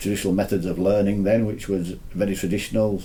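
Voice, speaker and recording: A man with a very deep, low pitch rattles along at a very fast pace in a flat monotone. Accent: Leeds. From northern England, Leeds, Yorkshire. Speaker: university lecturer. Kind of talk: interview. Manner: halting.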